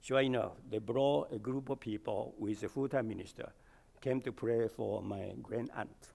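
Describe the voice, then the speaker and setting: A man talks at a moderate pace in a medium pitch with fairly even intonation. His voice carries vocal fry. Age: 80s. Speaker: church elder. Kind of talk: sermon.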